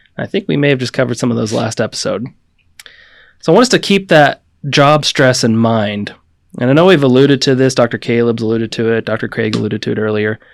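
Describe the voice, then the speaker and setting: A man speaks in an ordinary speaking voice at a fairly quick pace, with ordinary pitch variation. The recording is very clean, with a silent background. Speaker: doctor. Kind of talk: casual chat.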